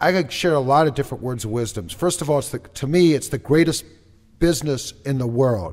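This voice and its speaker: A normal speaking voice with an American accent moves at a fairly quick pace. Its intonation is lively. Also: man, fairly high pitch for a man. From Minnesota, Twin Cities. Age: 50s. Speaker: network marketing entrepreneur. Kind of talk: interview. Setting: studio.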